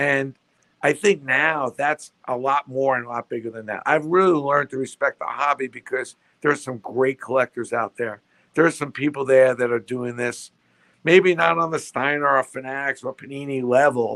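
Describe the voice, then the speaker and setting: A man speaks at a moderate pace with a bright, sharp tone. The sound is dry and close, with no echo. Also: medium pitch for a man, ordinary pitch variation. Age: 60s. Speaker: sports memorabilia entrepreneur. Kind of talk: interview conversation.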